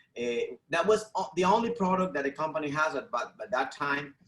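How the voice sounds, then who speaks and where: The speaker uses lively intonation with a Venezuelan accent. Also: man. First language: Spanish. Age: 40s. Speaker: network marketing distributor. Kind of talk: testimony. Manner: halting, many repeated words.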